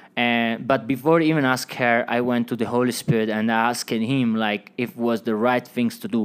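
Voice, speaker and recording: A man with an Italian accent and medium pitch speaks at a moderate pace on a very clean recording with a silent background. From Italy. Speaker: Bible college student. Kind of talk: interview, personal testimony.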